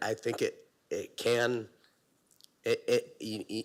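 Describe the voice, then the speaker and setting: A man with a Canadian accent on a very clean recording with a silent background. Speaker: municipal staff official answering council. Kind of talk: council meeting answer. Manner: halting, many repetitions.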